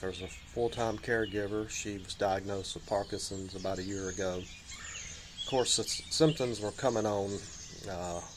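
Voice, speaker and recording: A man talks at a moderate pace with a fairly low pitch and fairly even intonation. Background noise is noticeable. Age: 60s. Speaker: vlogger, caregiver, former journalist. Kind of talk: casual vlog monologue. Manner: halting, many fillers.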